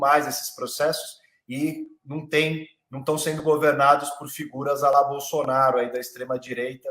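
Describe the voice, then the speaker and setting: A man with a plain, everyday voice speaks at a moderate pace and fairly high pitch, his intonation fairly even. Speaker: lawyer and law professor. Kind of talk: online panel discussion.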